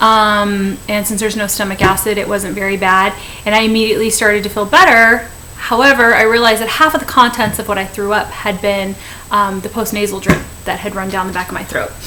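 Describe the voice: A woman speaks in a bright, sharp tone with few pauses, and faint noise sits in the background. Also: medium pitch for a woman, fairly even intonation, fairly quick pace.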